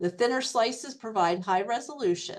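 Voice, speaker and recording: A woman with a fairly high pitch and a normal speaking voice talks at a moderate pace, with ordinary pitch variation. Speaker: MRI educator, radiography professor. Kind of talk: webinar lecture. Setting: online webinar.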